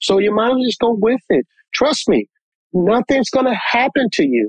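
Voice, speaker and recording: Dry and close with no echo, a man with an American accent talks at a moderate pace in a high pitch. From US Northeast (New Jersey). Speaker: podcast guest. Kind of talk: casual chat.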